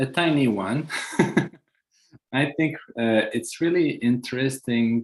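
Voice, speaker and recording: With a French accent, a man speaks at a very slow pace with ordinary pitch variation over a quiet background. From France. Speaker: panel discussant. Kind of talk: panel discussion. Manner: halting.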